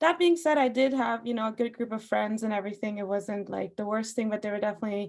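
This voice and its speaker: Speaking very fast with hardly any pauses, a woman with an Iranian accent has fairly high pitch and ordinary pitch variation. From Austria, Persian family. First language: Farsi. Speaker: singer. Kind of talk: casual chat.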